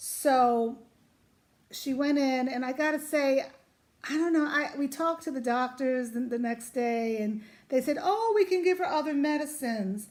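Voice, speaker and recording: Loud and animated, a woman with a New York accent, high-pitched with lively intonation at a moderate pace. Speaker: vlogger, mother of cancer patient. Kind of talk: casual vlog talk to camera.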